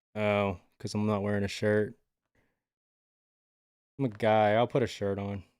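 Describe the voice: In a very clean recording with a silent background, a man speaks at a fairly slow pace and fairly low pitch, with little pitch movement and a clear, smooth, slightly mellow tone.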